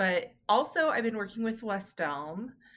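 A woman speaks with an American accent. Her tone is bright and sharp, with lively intonation. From Los Angeles. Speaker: cake artist and baking instructor. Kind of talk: casual interview.

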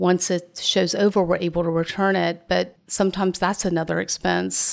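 A woman with a Southern US accent at a moderate pace. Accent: Southern US (Georgia). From US South, Augusta, Georgia. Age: 50s. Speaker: art gallery owner. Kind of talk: interview conversation.

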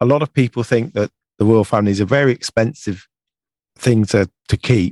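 A man with an English accent speaks at a medium pitch and very even loudness in a dry, close sound with no echo. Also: ordinary pitch variation, moderate pace. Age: 50s. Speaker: UK correspondent. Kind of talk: casual chat.

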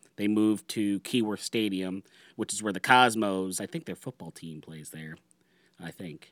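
An unremarkable speaking voice with ordinary pitch variation and big swings in loudness. The recording is very clean and dry, close with no echo, over a silent background. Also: man, fairly low pitch for a man, moderate pace. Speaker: podcast host guest. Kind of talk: casual chat.

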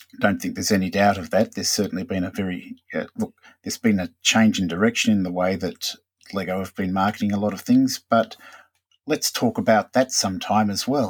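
Fairly low-pitched, a man talks at a fairly quick pace with fairly even intonation. It is a plain, everyday voice, recorded dry and close with no echo. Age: middle-aged. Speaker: Lego blogger and podcast co-host. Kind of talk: casual chat.

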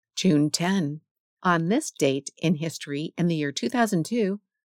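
A woman with an unremarkable speaking voice talks at a moderate pace in a fairly low pitch, her intonation lively, on a very clean recording with a silent background and a dry, close sound with no echo. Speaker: radio host reading history segments for blind listeners. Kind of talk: history radio narration, scripted and read aloud. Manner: steady, even, clear newsreader delivery.

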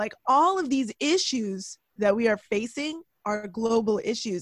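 A woman has an ordinary speaking voice, fairly high in pitch, with lively intonation. The sound is dry and close, with no echo. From Toronto, Canada. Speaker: journalist and political podcaster. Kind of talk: casual chat.

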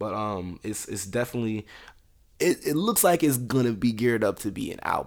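An animated tone and lively intonation mark this voice with an American accent. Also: man, medium pitch for a man. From US South. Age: 20s. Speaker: R&B singer. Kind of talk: casual chat.

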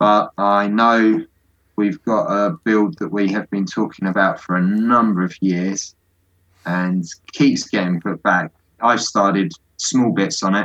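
Recorded with a dry, close sound with no echo, a man in a southern English accent speaks at a fairly low pitch and fairly slow pace with ordinary pitch variation. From London, England. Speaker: Lego hobbyist builder. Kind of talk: casual interview.

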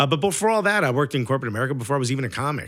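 On a very clean recording with a silent background, a man speaks in a New York accent. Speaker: stand-up comedian. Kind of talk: casual chat. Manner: loud; animated.

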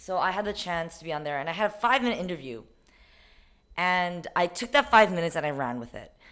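Very fast and with very wide pitch swings, a woman speaks in a fairly low pitch on a very clean recording with a silent background. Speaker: podcast co-host, private tutor. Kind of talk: casual chat.

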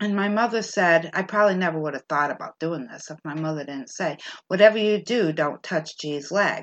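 Talking at a fairly quick pace, a woman has an unremarkable speaking voice with ordinary pitch variation. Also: fairly low pitch for a woman. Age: 50s. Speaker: podcast host. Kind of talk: casual storytelling chat.

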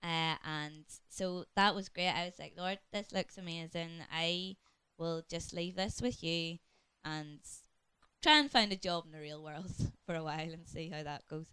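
Using a bright, sharp tone with a Northern Irish accent, a woman speaks fairly slowly at a fairly low pitch, with fairly even intonation and big swings in loudness. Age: 30s. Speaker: church deaconess. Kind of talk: casual chat. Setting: home study.

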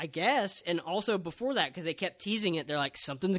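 A man's high-pitched voice has a bright, sharp tone. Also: very clean recording, silent background. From Texas, San Antonio. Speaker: wrestling podcast host. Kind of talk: casual chat.

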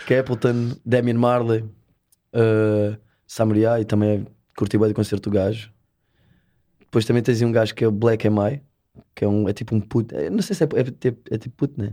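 Against a quiet background, a man with a dark, mellow tone and medium pitch speaks at a moderate pace with fairly even intonation and long, frequent pauses. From Portugal, Setúbal peninsula (Azeitão). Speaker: reggae and dancehall singer. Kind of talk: casual interview chat.

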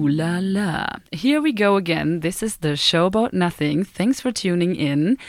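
In an unremarkable speaking voice, a woman with a fairly low pitch talks at a fairly slow pace, her intonation lively and her loudness very even. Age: 20s. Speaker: student radio co-host. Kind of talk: casual chat. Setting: studio.

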